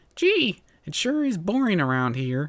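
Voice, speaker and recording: Putting on a character voice, a man speaks at a high pitch with very wide pitch swings. His pace is moderate. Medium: read story. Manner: chirpy, overeager.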